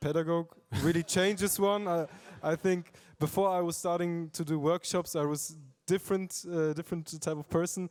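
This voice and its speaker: Monotone and flat, a man with a German accent speaks at a high pitch and a moderate pace. The sound is dry and close with no echo, on a very clean recording with a silent background. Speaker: youth workshop peer. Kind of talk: panel discussion.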